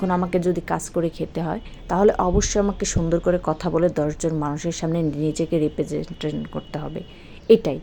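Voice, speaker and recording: A woman speaks with a Bangladeshi accent at a fairly low pitch. Her intonation stays fairly even. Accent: regional Bangladeshi dialect. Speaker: home baker and small business owner. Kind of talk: motivational talk.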